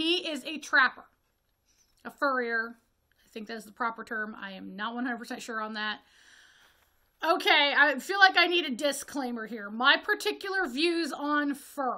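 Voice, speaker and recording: A woman with an American accent speaks in a raised, projected voice that is high-pitched and bright, sharp in tone, with lively intonation and big swings in loudness. She keeps a moderate pace but leaves long, frequent pauses. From Northwest Ohio, US Midwest. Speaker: horror film reviewer, video creator. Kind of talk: casual review monologue. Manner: halting with self-corrections.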